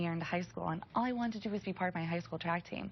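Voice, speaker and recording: Somewhat breathy, the woman's voice sits at a fairly low pitch. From Russia, moved to US at six. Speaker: Paralympic athlete. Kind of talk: TV news interview.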